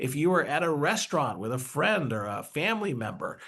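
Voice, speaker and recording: A man talks with vocal fry and very wide pitch swings, his pitch fairly high. The background is quiet. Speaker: neuroscientist co-host. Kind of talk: webinar lecture. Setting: online webinar. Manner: fast.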